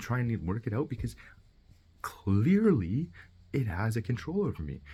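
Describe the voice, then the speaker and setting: A man's somewhat breathy voice. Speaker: vlogger. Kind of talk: personal video message. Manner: fast; halting.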